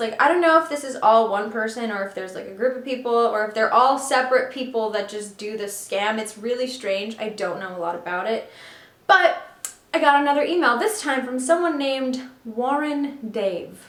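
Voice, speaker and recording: A woman with a high-pitched voice swings very widely in pitch and loudness. The recording has audible room echo and noticeable background noise. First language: Russian and Ukrainian. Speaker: artist, video creator. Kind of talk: casual vlog, reading emails aloud.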